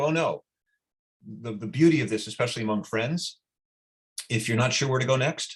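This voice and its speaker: A somewhat breathy male voice of medium pitch, with lively intonation. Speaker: workshop participant. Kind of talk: group discussion. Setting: video call. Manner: fast.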